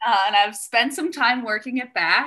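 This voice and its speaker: With an American accent, a woman speaks in a bright, sharp tone and lively intonation. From Wisconsin, US Midwest. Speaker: personal trainer and health coach. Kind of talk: casual interview chat.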